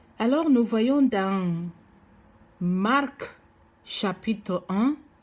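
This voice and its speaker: Somewhat breathy and fairly high-pitched, a woman with a non-native accent speaks very slowly with lively intonation. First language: not French (speaking French). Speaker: preacher. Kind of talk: sermon. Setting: seated, recorded video message. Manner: halting, many hesitations.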